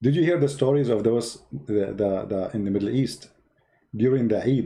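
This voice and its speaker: A man's dark, mellow voice with a non-native accent, lively intonation and a moderate pace. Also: medium pitch for a man. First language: Arabic. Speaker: online religious debater. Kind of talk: live stream chat. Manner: animated.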